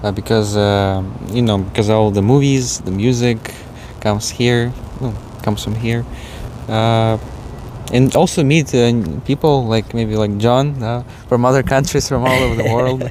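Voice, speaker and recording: There is noticeable background noise as a man talks at a moderate pace, with long, frequent pauses. His voice sits at a medium pitch with fairly even intonation. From Eastern Europe. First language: Eastern European language. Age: young. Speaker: interview guest. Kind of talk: interview. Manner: halting.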